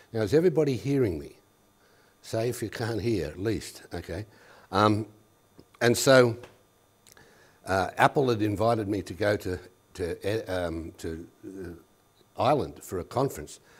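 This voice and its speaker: A man with an Australian accent speaks at a moderate pace and a fairly low pitch, with lively intonation. His loudness swings widely, and he takes long, frequent pauses. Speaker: education specialist. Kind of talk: workshop presentation. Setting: workshop room with audience.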